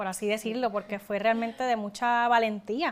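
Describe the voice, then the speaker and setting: On a very clean recording with a silent background, a woman with a fairly high pitch speaks in a monotone, flat intonation. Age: 20s. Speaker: podcast host. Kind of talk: interview.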